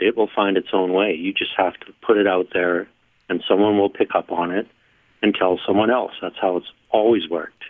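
Speaking at a fairly quick pace, a man with a western Canadian accent has a fairly low pitch. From rural Alberta, Canada. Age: 60s. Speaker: electronic musician. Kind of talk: interview.

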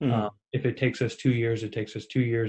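In a Midwestern US accent, a man speaks at a moderate pace and a medium pitch, sounding somewhat breathy. His intonation is monotone and flat, and the background is quiet. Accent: US Midwest. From Ohio, Cincinnati. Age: 30s. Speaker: real estate investor. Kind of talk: interview.

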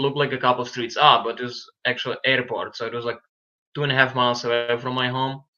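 The voice is bright and sharp, with a Ukrainian accent. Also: man. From Ukraine, Lviv. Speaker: boxer. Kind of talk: interview.

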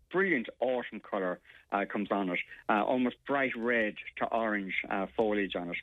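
This man speaks with an Irish accent. His pitch is medium and his pace moderate. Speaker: gardening expert. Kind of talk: casual chat.

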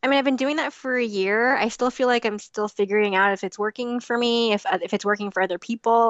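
An unremarkable speaking voice: a woman at a fairly quick pace with ordinary pitch variation. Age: 30s. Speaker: crochet designer. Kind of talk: interview.

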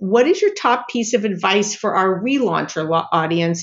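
A woman talks in an ordinary speaking voice. Her pace is moderate and her intonation lively. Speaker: podcast host. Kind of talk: interview questions, friendly.

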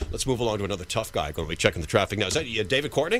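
With vocal fry, a man speaks at a fairly low pitch in a bright, sharp tone. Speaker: fill-in radio host. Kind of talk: live talk radio hosting, banter and call-in show. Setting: radio studio, live broadcast. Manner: chatty, self-deprecating, animated, improvisational, with filler words; fast-paced, punchy radio patter with jokes.

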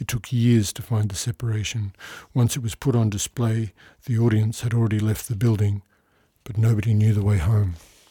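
A somewhat breathy man's voice, fairly low in pitch, at a moderate pace with fairly even intonation, on a very clean recording with a silent background. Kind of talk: poetry reading of original poems, studio recording. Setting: studio.

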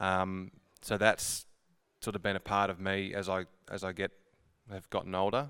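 In a very clean recording with a silent background, a man with an Australian accent speaks at a fairly low pitch in a bright, sharp tone, his intonation monotone and flat, with long, frequent pauses. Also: moderate pace. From Horsham, Victoria, Australia. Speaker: sales rep. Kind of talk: testimony.

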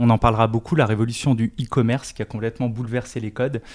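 Through a very clean recording with a silent background comes a man with an unremarkable speaking voice, medium in pitch, moving at a fairly quick pace. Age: 40s. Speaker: tech company industry director. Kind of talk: interview.

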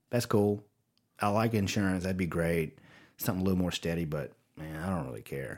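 In a very clean recording with a silent background, a man with a very deep, low pitch and a Louisiana accent talks at a fairly quick pace with ordinary pitch variation. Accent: Southern US (Louisiana). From Louisiana, US South. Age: 40s. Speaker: creative officer at a video company. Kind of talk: casual interview chat. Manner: rambling, with many false starts.

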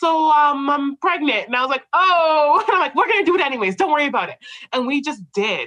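Raising and projecting her voice, a woman talks at a fairly quick pace with a high pitch, lively intonation and a bright, sharp tone. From Canada. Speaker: accountant and firm co-owner. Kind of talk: casual interview conversation. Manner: talkative, outgoing.

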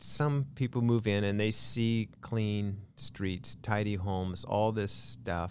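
A man with an American accent speaks in a normal speaking voice, fairly low-pitched and at a fairly slow pace, with hardly any pauses. The recording is very clean and the background is silent. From Lynden, Washington, US Pacific Northwest. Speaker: small-town mayor. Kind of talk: casual interview chat.

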